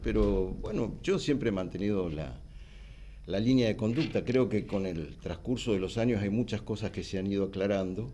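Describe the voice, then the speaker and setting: With a Rioplatense accent, a man speaks at a moderate pace in a fairly low pitch. His dark, mellow tone carries lively intonation amid audible room echo. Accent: Argentine Rioplatense Spanish. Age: 60s. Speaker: politician. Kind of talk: TV interview. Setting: TV studio.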